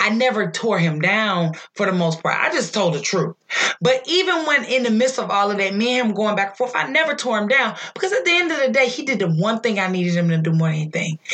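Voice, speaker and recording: A loud woman at a fairly quick pace, with very wide pitch swings. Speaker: podcast co-host. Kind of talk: casual chat.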